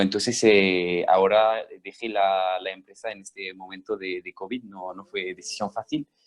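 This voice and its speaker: A man with a very deep, low voice and a slight French accent speaks fairly slowly with hardly any pauses and fairly even intonation, in a dry, close sound with no echo. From French Basque Country. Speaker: former startup employee, webinar panelist. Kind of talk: webinar panel talk. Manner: halting, many repetitions.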